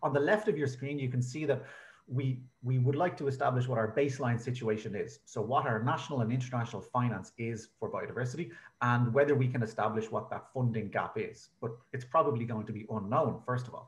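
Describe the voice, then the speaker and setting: A man with an Irish accent talks at a very fast pace in a somewhat breathy voice, with audible room echo around him. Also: medium pitch for a man, ordinary pitch variation. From Ireland. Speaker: researcher presenting at a conference. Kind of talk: conference presentation. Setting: online video conference.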